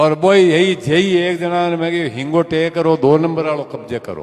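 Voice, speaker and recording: The speaker's pitch varies in an ordinary way, with noticeable background noise behind them. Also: man. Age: 70s. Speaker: community elder, speaker at a clan gathering. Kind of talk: public speech at community gathering.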